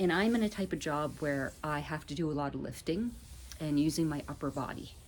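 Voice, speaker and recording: Her pitch is very deep and low for a woman. She speaks at a moderate pace with ordinary pitch variation. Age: 50s. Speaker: vlogger. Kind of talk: casual vlog. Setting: outdoors on a deck. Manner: hesitant with fillers.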